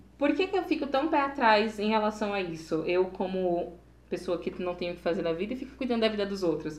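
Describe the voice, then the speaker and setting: A woman with a plain, everyday voice, medium in pitch, with lively intonation at a fairly quick pace. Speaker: podcast co-host. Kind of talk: casual chat.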